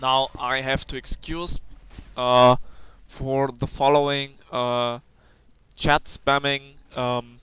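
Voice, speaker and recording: A man with a non-native accent speaks at a medium pitch and a very slow pace, in a monotone, flat intonation with long, frequent pauses. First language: not English. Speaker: gaming commentator. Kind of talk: gameplay commentary. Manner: hesitant, many fillers.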